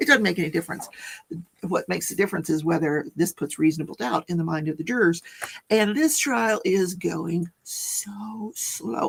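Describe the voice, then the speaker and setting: A raspy, put-on character voice at a middle pitch moves along at a moderate pace. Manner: talking fast.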